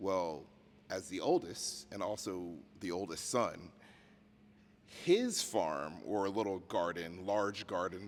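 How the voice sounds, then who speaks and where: A man's very deep, low voice with an American accent and fairly even intonation, very slow, with long and frequent pauses. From US South, outskirts of Richmond, Virginia. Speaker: podcast host. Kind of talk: casual interview chat. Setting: on location in a museum.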